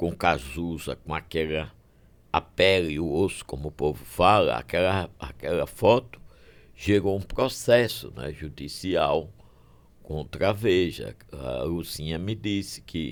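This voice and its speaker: Very slowly and with lively intonation, a man speaks at a very deep, low pitch with vocal fry. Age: 70s. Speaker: physician. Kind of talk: podcast interview.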